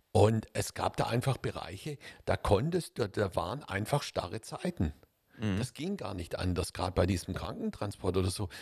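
Somewhat breathy and fairly low in pitch, a man speaks at a moderate pace with lively intonation. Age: 60s. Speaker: podcast co-host. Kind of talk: casual discussion.

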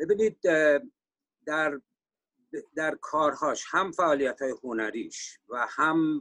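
Very slow, with long, frequent pauses, a man speaks in a fairly high voice with a bright, sharp tone and ordinary pitch variation. The sound is dry and close, with no echo. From Iran, Sari (Mazandaran). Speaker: economist and musician. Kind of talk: panel discussion interview.

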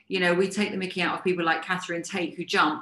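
Noticeable background noise is present. A woman does the talking. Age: 50s. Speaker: fitness and business coach. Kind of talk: live-streamed talk to viewers. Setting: live video stream.

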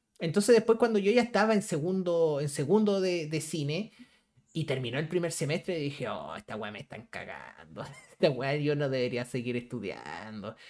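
A man with a Chilean accent, very wide pitch swings, and a moderate pace. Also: fairly high pitch for a man. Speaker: podcast host. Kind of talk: casual chat.

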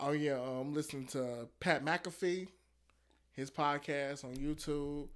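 In a very clean recording with a silent background, a man talks fairly slowly in a normal speaking voice, his fairly high pitch held in fairly even intonation. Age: 20s. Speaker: educator. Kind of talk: casual chat.

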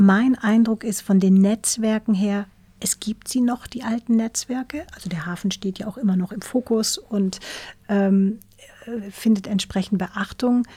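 A woman speaks at a fairly slow pace with a fairly high pitch. Her tone is dark and mellow, and somewhat breathy. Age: 50s. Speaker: tech company CEO. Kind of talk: interview. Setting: studio. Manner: hesitant, many fillers.

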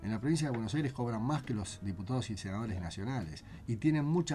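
Music plays in the background as a man talks at a very fast pace. His pitch swings very widely. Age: 50s. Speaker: constitutional lawyer and author. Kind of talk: interview about his book.

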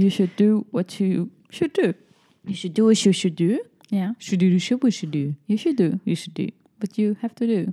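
A woman's voice comes across somewhat breathy, with a dark, mellow tone. The sound is dry and close, with no echo. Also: medium pitch for a woman, ordinary pitch variation, moderate pace. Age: 20s. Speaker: podcast host. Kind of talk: casual chat.

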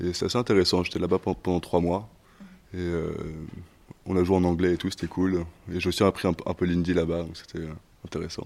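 At a fairly quick pace broken by long, frequent pauses, a man speaks in a very deep, low voice with monotone, flat intonation. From Switzerland. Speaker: actor. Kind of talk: interview.

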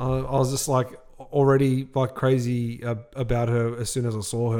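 A man with an Australian accent, dark and mellow in tone, medium in pitch and monotone in delivery, on a very clean recording with a silent background. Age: 30s. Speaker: podcast co-host, car dealership manager. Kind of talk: casual chat.

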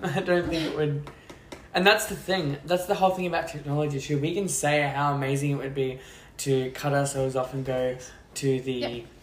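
Someone with an Australian accent speaks at a fairly quick pace over noticeable background noise. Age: 20s. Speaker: podcast guest, friend of host. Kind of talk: casual chat.

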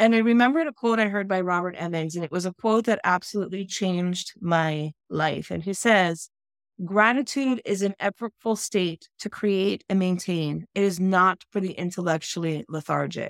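In a very clean, dry, close recording with a silent background and no echo, a woman talks in an ordinary speaking voice at a medium pitch and moderate pace, with ordinary pitch variation and hardly any pauses. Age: 50s. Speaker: mental health advocate and author. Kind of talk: interview.

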